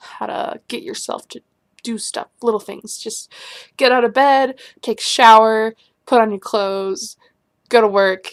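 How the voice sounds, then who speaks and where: This very clean recording with a silent background has a woman speaking at a fairly high pitch and a fairly slow pace, with ordinary pitch variation. Her loudness swings widely, and she leaves long, frequent pauses. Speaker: video blogger on mental health. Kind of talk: casual advice monologue.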